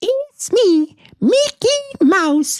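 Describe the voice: This put-on character voice sits at an extremely high pitch and swings very widely up and down.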